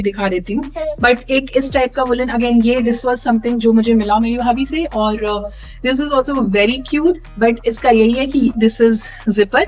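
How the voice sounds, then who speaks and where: Noticeable background noise surrounds a high-pitched woman. She speaks at a moderate pace with ordinary pitch variation. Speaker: vlogger, new mother. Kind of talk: casual vlog tutorial. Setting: at home, late night. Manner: casual with fillers; softer, quieter at night.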